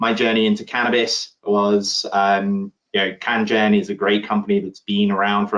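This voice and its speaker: Speaking with a British accent at a moderate pace, a man uses a fairly low pitch and a monotone, flat intonation. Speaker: insurance underwriter. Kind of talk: conference panel discussion.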